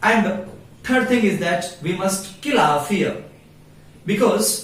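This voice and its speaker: A man's high-pitched voice with lively intonation at a fairly slow pace, amid audible room echo and noticeable background noise. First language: Hindi. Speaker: English teacher. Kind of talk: tutorial. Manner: halting.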